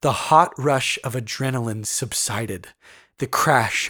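A natural reading voice with fairly even intonation against a quiet background.

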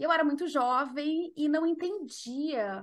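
Lively intonation marks the woman's high-pitched speech. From southern Brazil, Porto Alegre. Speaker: mental health consultant and author. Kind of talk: podcast interview.

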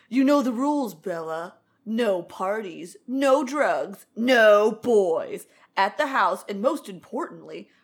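Using a put-on character voice, a woman speaks at a fairly high pitch and a fairly slow pace with lively intonation. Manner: stern, warning.

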